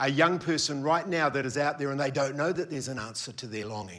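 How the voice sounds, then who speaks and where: Lively intonation from a man with an Australian accent. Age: 50s. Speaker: preacher, former youth pastor. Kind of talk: sermon.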